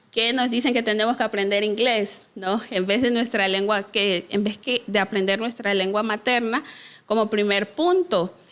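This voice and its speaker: Her Honduran accent comes through in a fairly high-pitched voice. The woman keeps a very even loudness at a moderate pace. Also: ordinary pitch variation. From Honduras, Trujillo, Colón (Garifuna community). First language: Garifuna (speaking Spanish). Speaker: social worker and activist. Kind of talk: interview conversation. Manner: hesitant, many fillers.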